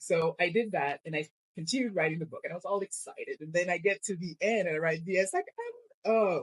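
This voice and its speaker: The speech comes very fast. It carries a French accent. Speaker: romance author. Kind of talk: podcast interview.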